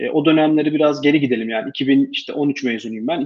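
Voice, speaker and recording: Speaking at a fairly quick pace, a man with a fairly high pitch uses ordinary pitch variation. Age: 30s. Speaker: tech startup founder. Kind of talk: interview. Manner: halting, many filler sounds.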